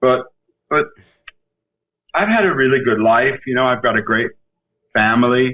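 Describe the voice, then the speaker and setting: This man's pitch sits in the middle range as he talks at a moderate pace. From New York. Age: 60s. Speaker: actor. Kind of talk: casual chat. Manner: animated.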